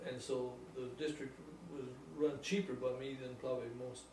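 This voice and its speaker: A man with an American accent speaks in a room with audible echo. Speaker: retired volunteer fire chief and farmer. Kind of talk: interview. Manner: halting.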